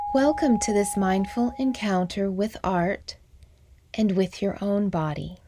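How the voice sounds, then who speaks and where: Over noticeable background noise, a woman at medium pitch talks at a fairly slow pace in a calm, soothing tone, with very even loudness and ordinary pitch variation. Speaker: MBSR teacher. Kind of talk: guided meditation. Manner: slow, calm, soothing with long pauses; soft-spoken, gentle.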